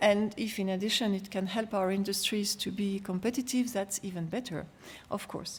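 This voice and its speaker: Somewhat breathy and medium in pitch, a woman speaks at a moderate pace with fairly even intonation. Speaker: EU official. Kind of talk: conference speech.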